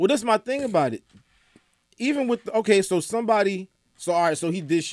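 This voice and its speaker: With an American accent, a man speaks at a fairly quick pace in a high voice, using lively intonation, big swings in loudness and long, frequent pauses, all in a dry, close sound with no echo. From Atlanta, US South. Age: 30s. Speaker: entertainment news editor. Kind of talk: casual chat. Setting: studio.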